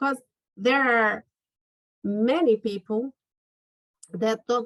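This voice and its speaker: A woman speaks with a Brazilian Portuguese accent at a fairly high pitch. The sound is dry and close, with no echo. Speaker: lawyer. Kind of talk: interview.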